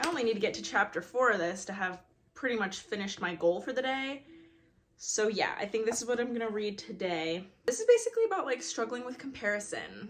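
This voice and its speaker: This woman has a plain, everyday voice, pitched fairly high. She talks at a fairly quick pace with ordinary pitch variation. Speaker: booktuber vlogger. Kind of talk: casual vlog chat. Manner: chatty, filler-heavy.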